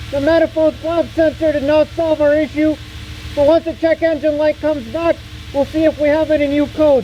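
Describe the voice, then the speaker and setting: Noticeable background noise surrounds speech delivered at a fairly quick pace. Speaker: car repair YouTuber. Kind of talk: tutorial. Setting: garage. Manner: casual.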